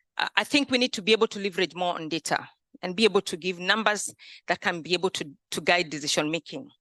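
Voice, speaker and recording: Dry and close with no echo, a woman speaks at a very fast pace with lively intonation. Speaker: mortgage industry executive. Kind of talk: conference presentation. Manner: halting, with fillers and repetitions.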